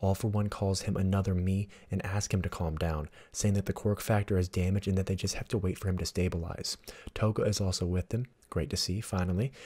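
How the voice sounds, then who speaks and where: Very fast and somewhat breathy, a man talks quietly in a very deep, low voice with a dark, mellow tone and fairly even intonation, on a very clean recording with a silent background. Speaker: manga analysis YouTuber. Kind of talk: casual talk to camera.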